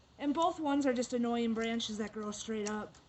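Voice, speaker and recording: A woman's high pitch, ordinary pitch variation and moderate pace over noticeable background noise. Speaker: gardening instructor. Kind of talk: tutorial.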